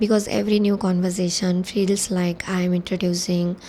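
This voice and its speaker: A woman at medium pitch, moderate pace and fairly even intonation, over noticeable background noise. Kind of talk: personal reflective talk to camera.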